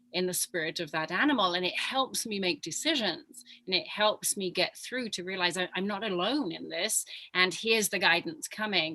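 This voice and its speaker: Over noticeable background noise, a woman with a medium-pitched voice talks at a moderate pace with hardly any pauses. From England, Leicestershire. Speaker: spiritual guide working with animals. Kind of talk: casual chat.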